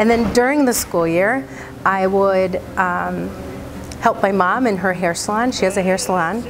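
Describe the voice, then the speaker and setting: Against noticeable background noise and audible room echo, a woman speaks with very even loudness and ordinary pitch variation. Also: medium pitch for a woman, moderate pace. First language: Spanish. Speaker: bilingual elementary teacher. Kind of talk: personal testimony.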